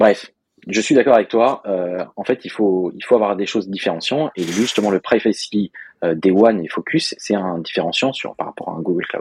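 In a plain, everyday voice, a man speaks at a fairly low pitch with ordinary pitch variation, the sound dry and close with no echo. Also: moderate pace. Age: 30s. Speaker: software developer, podcast co-host. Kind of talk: casual chat.

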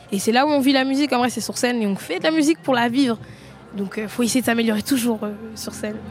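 Against noticeable background noise, a woman speaks at a very fast pace in a high pitch. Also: ordinary pitch variation. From Seine-Saint-Denis, Paris suburbs. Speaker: rapper. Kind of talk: post-concert interview.

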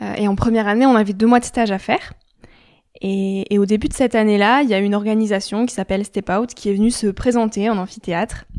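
At a very fast pace, a woman with a fairly high pitch speaks with fairly even intonation. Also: very clean recording, silent background. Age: 20s. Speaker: student and podcaster. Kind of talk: casual interview.

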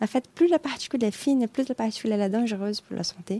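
With a Brazilian accent, a woman speaks in a fairly high pitch and a dark, mellow tone, the sound dry and close with no echo. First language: Portuguese (speaking French). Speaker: atmospheric scientist. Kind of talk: interview. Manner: hesitant, many fillers.

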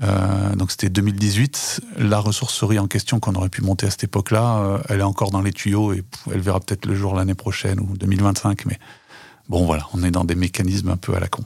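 Talking at a fairly quick pace, a man with a fairly low, somewhat breathy voice keeps his intonation fairly even. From France, Haute-Loire (rural Auvergne). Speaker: co-founder of shared housing for elderly people. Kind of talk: casual interview. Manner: talkative, hesitant with fillers.

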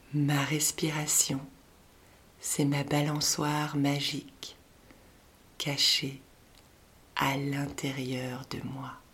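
The speaker has a calm, gentle tone and a very slow pace. Long, frequent pauses break up the speech. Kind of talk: guided meditation for children, repeating a mantra. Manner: slow, calm, gentle, with long pauses between repeated phrases; soft-spoken and warm, encouraging, addressing a child as 'tu'.

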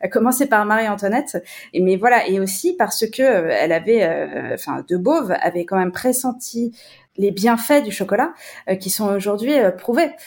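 In a very clean recording with a silent background, a woman with an unremarkable speaking voice speaks at a fairly high pitch with lively intonation. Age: 40s. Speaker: chocolate company CEO. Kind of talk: casual interview.

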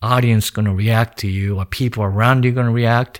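A man speaks with a Japanese accent at medium pitch and fairly even intonation. The sound is dry and close, with no echo. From Japan, rural Nagano. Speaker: painter. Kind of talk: interview monologue. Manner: halting, with fillers.

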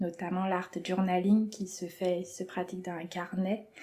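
With monotone, flat intonation, a woman speaks at a fairly slow pace in a medium-pitched voice. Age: 40s. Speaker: creative drawing teacher. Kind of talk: interview.

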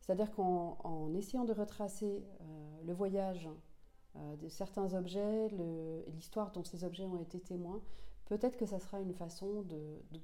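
Over noticeable background noise, a woman speaks at a fairly low pitch. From Senegal. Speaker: author and journalist. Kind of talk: interview. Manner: halting, with many repetitions and fillers.

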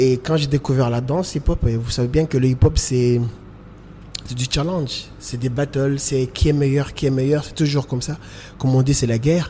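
A man speaks at a medium pitch in a dark, mellow tone, somewhat breathy. His pace is moderate and his intonation fairly even. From Comoros (Grande Comore, Moroni). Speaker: choreographer and dancer. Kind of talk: interview testimony. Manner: halting.

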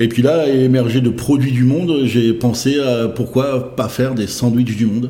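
Speaking at a fairly slow pace, a man keeps a medium pitch, fairly even intonation and very even loudness. Noticeable background noise and audible room echo are present. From Brittany, France (Saint-Brieuc). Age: 40s. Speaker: fast-food chain founder. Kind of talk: interview. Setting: restaurant. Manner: halting, many fillers.

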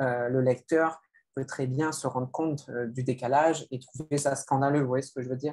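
A man talks at a moderate pace with fairly even intonation. He has an unremarkable speaking voice at a medium pitch. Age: 30s. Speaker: novelist. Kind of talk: literary interview.

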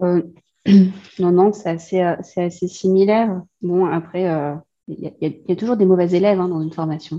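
Her voice has a fairly low pitch and a dark, mellow tone. The woman speaks at a fairly slow pace with fairly even intonation. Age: 30s. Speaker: student of an interior design course. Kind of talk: casual chat.

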